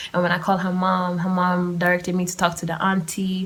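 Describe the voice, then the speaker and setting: A woman's animated, medium-pitched voice at a fairly quick pace, with noticeable background noise. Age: 20s. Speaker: podcast host. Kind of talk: casual chat.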